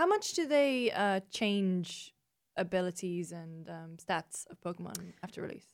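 With an American accent, a woman speaks at a fairly slow pace, her loudness swinging widely. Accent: British, drifting slightly American. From northeast England. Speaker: games journalist. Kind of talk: casual chat.

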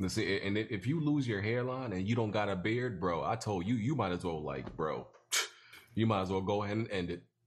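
Using a normal speaking voice, the speaker moves at a fairly quick pace with ordinary pitch variation. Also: man, fairly low pitch for a man. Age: 20s. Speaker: gaming podcast host. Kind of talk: casual chat.

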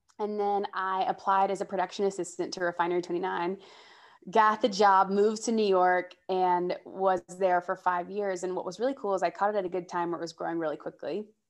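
A woman with an American accent and a plain, everyday voice speaks at a medium pitch and a fairly quick pace, her intonation fairly even over a quiet background. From US South (Georgia). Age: 20s. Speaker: entertainment host and journalist. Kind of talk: casual interview chat.

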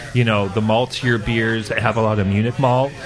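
A man talks at a medium pitch over noticeable background noise.

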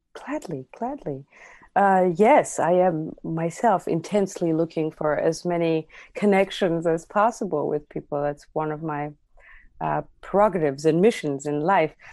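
In an Armenian accent, a woman with a fairly low voice speaks fairly slowly with lively intonation. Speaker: near-death experiencer, musician. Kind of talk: interview testimony.

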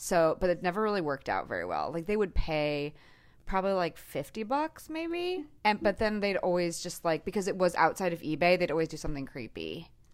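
With a normal speaking voice, a woman talks at a fairly quick pace, fairly low in pitch with ordinary pitch variation, on a very clean recording with a silent background. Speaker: host's high school friend. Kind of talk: casual chat.

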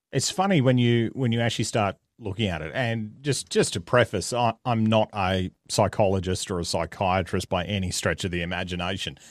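Barely pausing at all, a man with an Australian accent speaks at a fairly low pitch. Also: ordinary pitch variation, fairly quick pace. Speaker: comedian and media personality. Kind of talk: casual interview chat. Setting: remote call.

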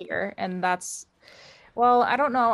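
A woman with an American accent speaks at a moderate pace. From Wisconsin, US Midwest. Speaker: plant collector. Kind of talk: casual chat. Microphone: laptop microphone.

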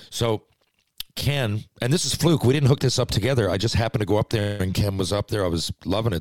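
An unremarkable speaking voice, a man of fairly low pitch talks at a fairly quick pace with ordinary pitch variation, recorded dry and close with no echo against a silent background. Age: 40s. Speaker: former pro hockey player and podcast host. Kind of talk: casual chat.

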